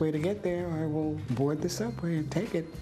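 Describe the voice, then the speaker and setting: Music plays in the background as a woman with a very deep, low pitch speaks in an American accent with ordinary pitch variation. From New York City. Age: 90s. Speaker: physician. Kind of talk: interview.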